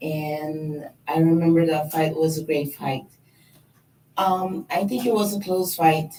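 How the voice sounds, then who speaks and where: A woman with a non-native accent speaks fairly slowly in a very deep, low, dark and mellow voice that is somewhat breathy. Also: ordinary pitch variation. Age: 40s. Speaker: professional boxer. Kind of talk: press conference speech.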